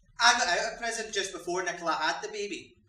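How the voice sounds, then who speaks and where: A man with a Scottish accent raises and projects his high-pitched voice. Audible echo fills the room. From Scotland. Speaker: actor playing a young offender in a drama; actor in a drama. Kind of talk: dramatic monologue, acted performance; theatrical monologue. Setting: stage with audience. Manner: halting, anguished, fearful. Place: stage. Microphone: camera far.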